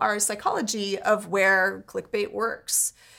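A woman projects her voice, raised and carrying. Her tone is bright and sharp, and her pace fairly slow. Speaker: podcast co-host and tech commentator. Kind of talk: casual chat.

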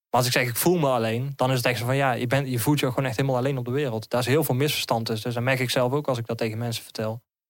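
Delivered at a very fast pace, a man's speech stays monotone and flat. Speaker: interviewee sharing lived experience of loneliness. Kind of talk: personal testimony in interview. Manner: halting, many hesitations and repetitions.

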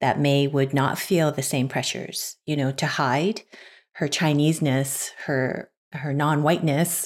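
On a very clean recording with a silent background, the voice shows ordinary pitch variation. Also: woman. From Canada. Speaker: podcast panelist. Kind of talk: casual chat.

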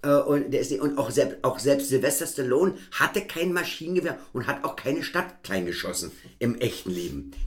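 Here a man talks in a fairly high pitch with very wide pitch swings. His moderate-paced speech carries vocal fry. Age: 40s. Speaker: podcast host. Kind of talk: casual chat.

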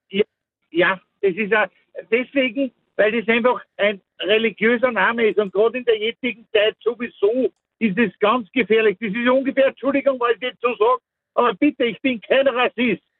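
Extremely high pitch for a man, fairly even intonation and a moderate pace. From Austria, Mostviertel. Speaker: caller. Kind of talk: opinionated phone-in.

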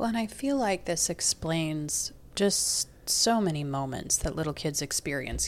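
On a very clean recording with a silent background, a woman with a very deep, low pitch and vocal fry talks with ordinary pitch variation. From Southeast Asia. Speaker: therapist. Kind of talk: casual chat.

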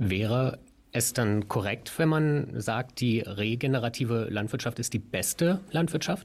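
In a very clean recording with a silent background, a somewhat breathy man speaks at a fairly slow pace with ordinary pitch variation and very even loudness. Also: medium pitch for a man. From Berlin. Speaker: podcast co-host. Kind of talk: interview.

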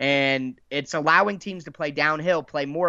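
A man with an American accent, an unremarkable speaking voice, fairly high pitch, ordinary pitch variation and a moderate pace. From Dayton, Ohio. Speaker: sports podcaster, Titans fan. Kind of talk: casual sports podcast interview.

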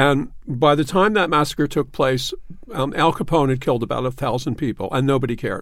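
At a fairly quick pace, a man with a Philadelphia accent speaks at a fairly high pitch with ordinary pitch variation. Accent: Philadelphia American English. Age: 60s. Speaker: newspaper columnist. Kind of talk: casual chat. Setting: studio.

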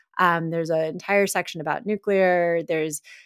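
A normal speaking voice with an American accent moves at a moderate pace with fairly even intonation, in a very clean, dry, close recording with a silent background and no echo. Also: woman. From Texas. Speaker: energy researcher and professor. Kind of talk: casual chat.

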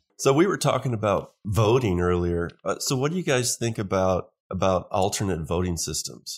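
Using a normal speaking voice, a man speaks at a moderate pace with hardly any pauses. His pitch is fairly low and his intonation lively. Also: very clean recording, silent background. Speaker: guest. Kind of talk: casual chat.

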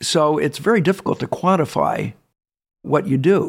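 Speaking in an American accent, a man uses a fairly high pitch. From Southern California. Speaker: winery owner. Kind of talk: casual interview. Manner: halting.

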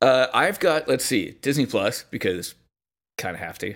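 On a very clean recording with a silent background, a man speaks at a moderate pace and a medium pitch with lively intonation. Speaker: podcast guest. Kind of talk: casual chat.

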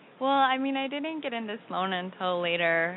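A woman with an American accent, at a fairly quick pace, with ordinary pitch variation. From US Midwest. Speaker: breast cancer survivor, graduate student. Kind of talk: interview.

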